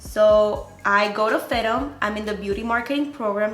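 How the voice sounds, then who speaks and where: With music in the background and audible room echo, a woman speaks at a moderate pace in a Spanish accent, her pitch varying in an ordinary way. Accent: Spanish-speaker. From Dominican Republic (born in Venezuela). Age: 20s. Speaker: beauty YouTuber. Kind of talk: casual vlog talk to camera. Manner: animated.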